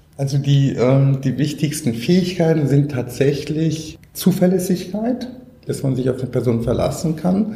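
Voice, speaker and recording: A man's fairly high-pitched voice, fairly slow and lively in intonation, with audible room echo. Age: 40s. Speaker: social entrepreneur, company founder. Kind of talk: interview.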